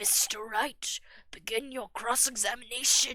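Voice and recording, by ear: A put-on character voice, gravelly in texture. It moves at a moderate pace with fairly even intonation. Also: woman.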